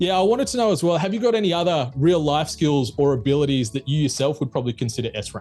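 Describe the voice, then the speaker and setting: A man with an Australian accent at a very fast pace and fairly high pitch, lively in intonation, with hardly any pauses and music in the background. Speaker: podcast host. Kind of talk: podcast interview questions. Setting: studio.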